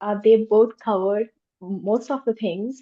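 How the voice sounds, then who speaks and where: A woman talks in a fairly high voice. Her intonation stays fairly even. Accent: non-native. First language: not English. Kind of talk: panel discussion. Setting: virtual roundtable.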